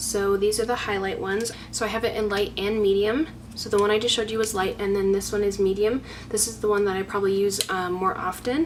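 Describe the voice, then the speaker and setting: Amid noticeable background noise, a woman talks at a very fast pace and medium pitch. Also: fairly even intonation. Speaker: beauty YouTuber. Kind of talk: makeup tutorial-style product showcase.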